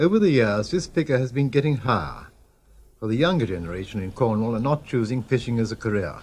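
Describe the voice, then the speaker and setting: A somewhat breathy man talks with very wide pitch swings. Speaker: documentary narrator. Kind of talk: documentary narration.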